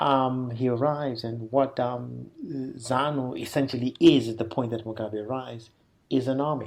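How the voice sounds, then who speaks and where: A man's voice carries a dark, mellow tone and is somewhat breathy. His pitch variation is ordinary. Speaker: associate professor in African politics. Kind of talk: interview answer. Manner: hesitant, many fillers.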